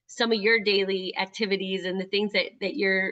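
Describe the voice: Bright and sharp in tone, a woman at medium pitch speaks at a fairly quick pace with little pitch movement.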